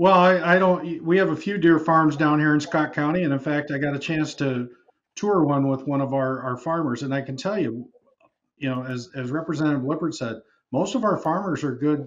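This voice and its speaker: Fairly high-pitched, a man with an Upper Midwest accent talks at a moderate pace with ordinary pitch variation. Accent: Upper Midwest (Minnesota). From Minnesota (Prior Lake); Minnesota. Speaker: state senator. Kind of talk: televised panel discussion. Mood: earnest, argumentative. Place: home room. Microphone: video call.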